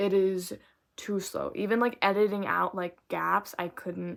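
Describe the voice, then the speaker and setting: Mumbling, a woman speaks at a very slow pace. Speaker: book vlogger. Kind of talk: casual book review vlog.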